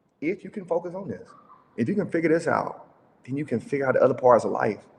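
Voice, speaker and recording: A man's very fast, lively-intoned delivery with vocal fry. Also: fairly high pitch for a man. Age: 30s. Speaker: entrepreneur, summit speaker. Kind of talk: business talk presentation. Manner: casual, conversational.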